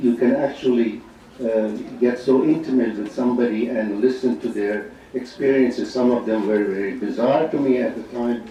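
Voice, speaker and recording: A man of medium pitch talks at a moderate pace amid noticeable background noise and audible room echo. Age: 70s. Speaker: psychiatrist. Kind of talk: conference speech. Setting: auditorium with audience.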